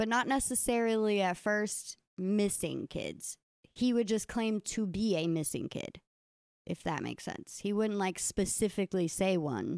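At a fairly slow pace and medium pitch, a woman uses a normal speaking voice with ordinary pitch variation, heard dry and close with no echo in a very clean recording with a silent background. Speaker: podcast host telling the case. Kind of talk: storytelling narration of a true crime case, casual.

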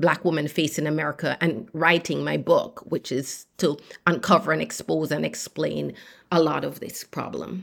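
A woman speaks with a very deep, low pitch and vocal fry at a fairly slow pace. The recording is very clean with a silent background. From Jamaica. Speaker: obstetrician and author. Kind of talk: interview.

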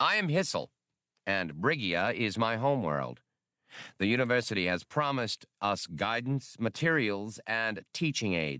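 A man puts on a character voice with a bright, sharp tone and a fairly low pitch. He moves at a fairly slow pace, making big pitch swings.

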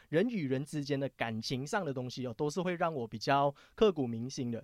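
A man with a slight Taiwanese accent, fairly high pitch, ordinary pitch variation and a moderate pace, in a dry, close sound with no echo and a very clean recording, silent background. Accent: slight Taiwanese tinge. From Malaysia. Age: young. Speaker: finance show DJ. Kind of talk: casual chat.

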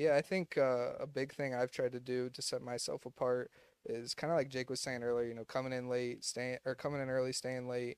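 A man speaks at a medium pitch and a fairly quick pace. His flat, monotone delivery sounds dry and close with no echo. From Ohio, US Midwest. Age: 20s. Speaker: insurance agency owner. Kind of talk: casual interview.

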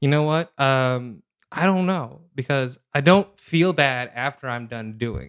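At a fairly slow pace, a man with medium pitch and ordinary pitch variation speaks in an unremarkable speaking voice. His loudness swings a lot. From Seattle, Pacific Northwest US. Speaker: comedian and writer. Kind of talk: casual chat.

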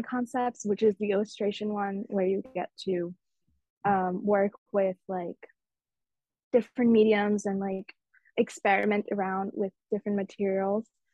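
A woman with a medium pitch and a dark, mellow tone speaks in a monotone, flat intonation with long, frequent pauses, in a dry, close sound with no echo. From Mumbai, India. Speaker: fashion design student. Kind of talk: casual interview chat.

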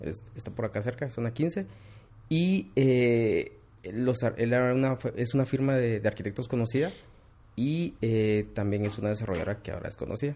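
The speaker talks at a moderate pace with long, frequent pauses and ordinary pitch variation. The tone is dark and mellow, somewhat breathy. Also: man, medium pitch for a man. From Guatemala, Quetzaltenango (Xela). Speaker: architectural visualization studio CEO. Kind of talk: interview.

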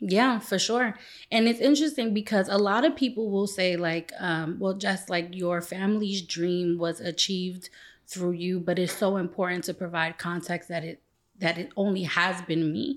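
With an American accent, a woman talks in an ordinary speaking voice at a moderate pace, her medium pitch showing ordinary pitch variation. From Brooklyn, New York. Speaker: nonprofit CEO. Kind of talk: interview.

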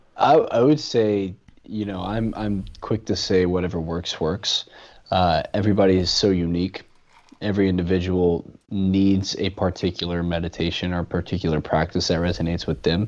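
A very deep, low-pitched man with an American accent, fairly even intonation and a moderate pace. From US South, Louisiana. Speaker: breathwork facilitator. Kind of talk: podcast interview.

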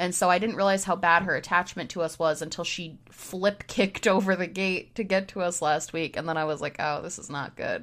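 A normal speaking voice from a woman with an American accent, fairly low in pitch, fairly quick with hardly any pauses, and with fairly even intonation. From US Northeast, Syracuse New York. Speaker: podcast co-host. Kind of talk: casual chat. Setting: home recording setup.

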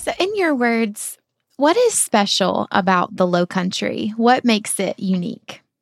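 A woman with a Southern US accent, fairly high in pitch, at a fairly slow pace with lively intonation, with music in the background. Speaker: podcast host. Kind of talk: interview, casual travel podcast.

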